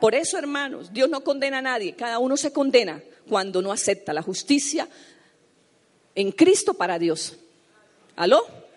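A woman talks in a high voice with very wide pitch swings and an animated tone. Her pace is moderate, broken by long, frequent pauses. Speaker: pastor. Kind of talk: sermon. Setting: church. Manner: animated, fervent preaching with rhetorical questions.

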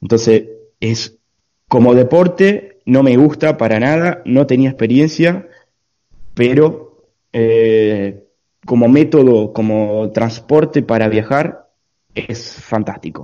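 A man talks at a very slow pace in a medium pitch. His tone is dark and mellow, with ordinary pitch variation. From Argentina. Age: 20s. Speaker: long-distance cycle traveller. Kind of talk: interview. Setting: video call.

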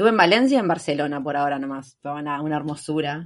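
A woman speaks at a moderate pace in a Rioplatense accent. Her intonation is lively and the background is quiet. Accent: Argentine Spanish (rioplatense). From Argentina. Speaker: long-term traveller. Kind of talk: casual interview chat.

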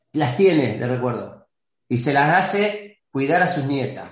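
A man with an Argentine accent speaks with very wide pitch swings. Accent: Argentine Spanish (Rioplatense). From Argentina. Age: 60s. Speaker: retired football goalkeeper. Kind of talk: interview.

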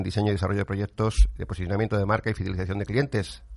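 A man with a fairly low pitch is speaking. The pace is very fast. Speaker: radio host. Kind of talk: radio talk show. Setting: studio. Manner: animated.

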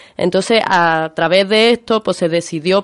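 A woman with an ordinary speaking voice, medium pitch, fairly slow pace, dry, close sound with no echo. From Spain, Málaga (Andalusia). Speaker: land occupation activist, union member. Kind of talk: radio interview.

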